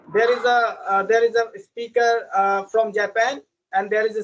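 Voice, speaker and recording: In an Indian accent, a high-pitched man speaks at a moderate pace with fairly even intonation. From India, village. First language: Indian language. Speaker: English learner. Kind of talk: casual chat. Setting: video call. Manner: halting.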